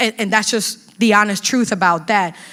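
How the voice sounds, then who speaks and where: The speaker has a Spanish accent and talks at a fairly quick pace. The intonation is fairly even. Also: woman. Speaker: community health educator. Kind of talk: panel talk at workshop.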